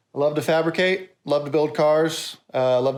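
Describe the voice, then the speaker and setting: Set against a silent background, a man's voice is captured in a very clean recording. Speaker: car fabricator and YouTuber. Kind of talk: casual vlog outro. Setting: in his workshop. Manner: fast.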